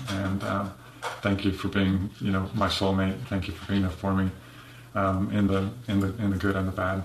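With audible room echo, a man speaks in a monotone, flat intonation. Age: 50s. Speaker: churchgoer sharing illness testimony. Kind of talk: testimony. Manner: halting, repeating words.

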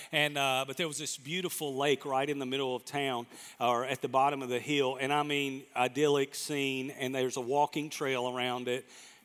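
A man with a Southern US accent and a medium pitch talks at a moderate pace in a monotone, flat way, with hardly any pauses, on a very clean recording with a silent background. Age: 50s. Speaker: pastor. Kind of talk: sermon. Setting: church with congregation.

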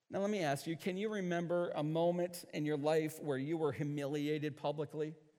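A man with an American accent talks at fairly high pitch in a normal speaking voice. He goes at a fairly quick pace with hardly any pauses, fairly even intonation and very even loudness. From US Northeast, central New York. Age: 50s. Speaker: pastor. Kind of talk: sermon.

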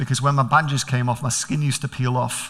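With noticeable background noise behind him, a man speaks in a Manchester accent at a fairly high pitch. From Manchester, England.

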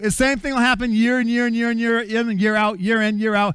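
An extremely high-pitched man, animated in tone and bright and sharp in sound, on a very clean recording with a silent background. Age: 50s. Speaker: pastor. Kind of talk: sermon.

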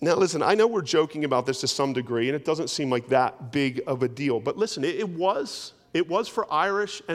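A man with an American accent and a fairly high pitch has an unremarkable speaking voice. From US, South Jersey. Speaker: pastor. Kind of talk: sermon. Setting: church. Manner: conversational, humorous asides.

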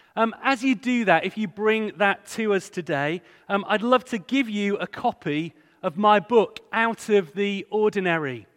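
Spoken in an East Yorkshire accent at a fairly slow pace with ordinary pitch variation, the clip is very clean with a silent background and a dry, close sound with no echo. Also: man, high pitch for a man. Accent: East Yorkshire (Hull) English. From northern England, Hull. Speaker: charity director, guest speaker. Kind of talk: sermon. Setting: church with congregation.

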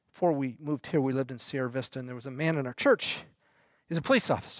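Very fast speech in an American accent with ordinary pitch variation, a dry, close sound with no echo, and a very clean recording with a silent background. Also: man. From United States. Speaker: pastor. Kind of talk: sermon. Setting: church.

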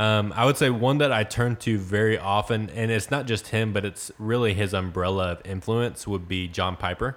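With a Texan accent, a man talks in a fairly low voice with hardly any pauses. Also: ordinary pitch variation, moderate pace. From Texas, small town near Corsicana. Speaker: student pastor. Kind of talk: casual interview.

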